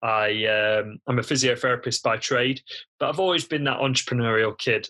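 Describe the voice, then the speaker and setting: A man speaks with a British accent in a bright, sharp tone. The pace is moderate, and the recording is very clean with a silent background. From United Kingdom. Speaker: physiotherapist and online entrepreneur. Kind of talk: podcast interview.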